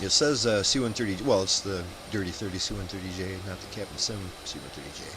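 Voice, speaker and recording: A man speaks at a very fast pace with a fairly low pitch and ordinary pitch variation. His loudness swings widely, and room echo is audible. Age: 50s. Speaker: flight sim streamer. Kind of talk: casual chat.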